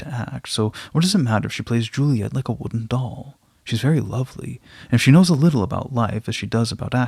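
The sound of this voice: A reading voice without strain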